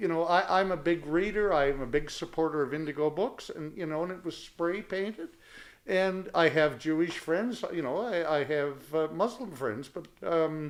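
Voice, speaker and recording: A man with a Canadian accent, high in pitch, with ordinary pitch variation and a moderate pace. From New Brunswick, Canada (Fredericton). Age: 60s. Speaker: podcast guest. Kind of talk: casual chat.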